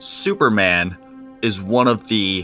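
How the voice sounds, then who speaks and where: Music plays behind a man speaking at a fairly low pitch. His pitch varies in an ordinary way. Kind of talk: scripted countdown narration. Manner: slow, loud.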